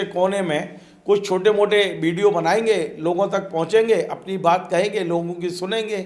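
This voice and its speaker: This man has a high pitch and fairly even intonation. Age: 60s. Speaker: journalist and channel founder. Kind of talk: interview.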